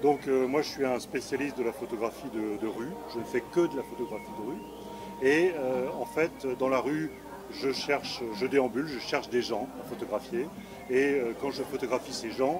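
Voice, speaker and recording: Noticeable background noise runs behind a man speaking at a medium pitch and a fairly slow pace. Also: ordinary pitch variation. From Valence, southeastern France. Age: 60s. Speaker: street photographer. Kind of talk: exhibition interview. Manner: hesitant, many fillers.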